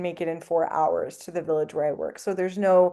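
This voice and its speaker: A woman with a French accent speaks at medium pitch in a dark, mellow tone. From Canada. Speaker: anthropologist professor. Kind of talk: podcast interview. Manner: animated storytelling.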